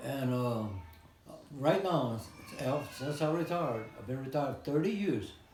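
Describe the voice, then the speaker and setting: A man talks at a fairly slow pace in a fairly high pitch, with lively intonation and big swings in loudness, over noticeable background noise and audible room echo. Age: 90s. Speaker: retired postal worker and Navy veteran. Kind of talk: interview.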